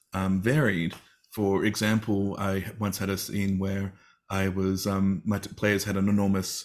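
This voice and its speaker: A man with an Australian accent speaks at a fairly low pitch in a flat monotone. The recording is very clean, with a silent background. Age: 40s. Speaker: teacher and game therapy advocate. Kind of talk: interview on a live stream.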